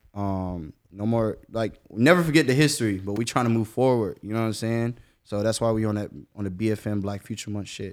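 In a very clean recording with a silent background, an unremarkable speaking voice with an American accent moves at a fairly quick pace with ordinary pitch variation. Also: man, fairly low pitch for a man. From Jacksonville, Florida. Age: 20s. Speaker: rapper. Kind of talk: casual interview.

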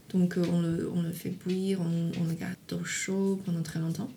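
With a Chinese accent, a woman speaks at a medium pitch in a somewhat breathy voice, with audible room echo. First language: Chinese (speaking French). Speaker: tofu producer. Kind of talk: interview. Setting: at home in countryside. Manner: halting.

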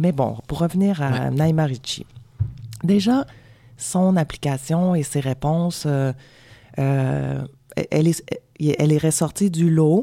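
A woman with a very deep, low pitch and a dark, mellow tone speaks very slowly. She shows ordinary pitch variation and leaves long, frequent pauses. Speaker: film director. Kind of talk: radio interview. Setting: radio studio.

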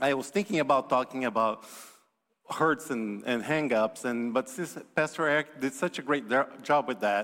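A man speaks with a Portuguese accent. His pitch is medium. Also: ordinary pitch variation, moderate pace. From Brazil. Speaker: visiting preacher. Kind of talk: sermon. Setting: church.

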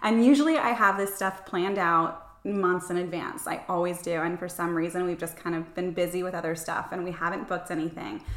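A woman with a fairly low pitch, fairly quick and with hardly any pauses, fairly even in intonation, over noticeable background noise. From Florida. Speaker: travel and lifestyle blogger. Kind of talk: casual interview chat.

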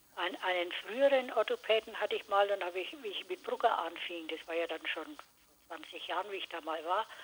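Noticeable background noise is audible throughout. Over it, the speech carries lively intonation. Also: woman. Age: 80s+. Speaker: author. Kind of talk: casual chat.

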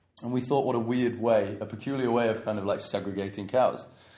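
A man with an English accent talks at medium pitch and a fairly quick pace. His intonation is fairly even, and audible room echo surrounds the voice. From England. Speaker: traveller. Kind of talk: casual chat. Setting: in Goa, India.

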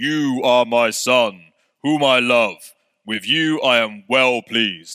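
Putting on a character voice, a man talks at a fairly slow pace and a medium pitch. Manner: authoritative, solemn.

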